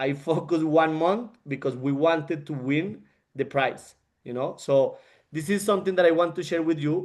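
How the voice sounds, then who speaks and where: A man with a non-native accent, fairly high pitch, fairly even intonation and a moderate pace, against a quiet background. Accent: non-fluent English. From Colombia. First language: Spanish. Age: 30s. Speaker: network marketing leader and engineer. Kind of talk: motivational talk on a group call. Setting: group call. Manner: halting, with frequent repetitions.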